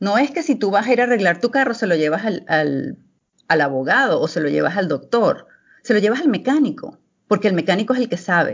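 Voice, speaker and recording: At a fairly quick pace, a woman talks at a medium pitch with very wide pitch swings. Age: 40s. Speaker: clinical pharmacology expert. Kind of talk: interview. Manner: halting.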